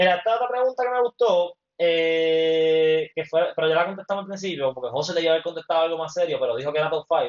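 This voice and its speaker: With a Puerto Rican accent, a man talks at a very fast pace with hardly any pauses and a high pitch. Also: ordinary pitch variation. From Puerto Rico, Mayagüez. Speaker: podcast co-host, former athlete. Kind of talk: casual chat. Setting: home apartment, livestream.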